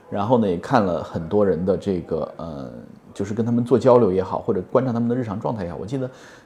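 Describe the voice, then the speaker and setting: Talking at a very fast pace, a man with a dark, mellow tone and fairly low pitch keeps his intonation lively. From Hunan, China. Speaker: podcast co-host. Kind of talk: casual chat. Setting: office.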